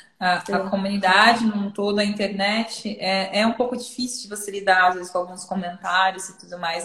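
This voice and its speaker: A woman speaks at a moderate pace in a medium pitch with ordinary pitch variation, over noticeable background noise. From interior of São Paulo state, Brazil. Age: 20s. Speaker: data product manager and content creator. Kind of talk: casual live-stream interview.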